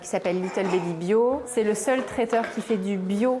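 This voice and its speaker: Noticeable background noise sits behind a woman speaking at a fairly slow pace. Her pitch is fairly high, with ordinary variation. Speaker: early childhood educator and company co-founder. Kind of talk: interview and guided tour. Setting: inside a nursery. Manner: soft-spoken.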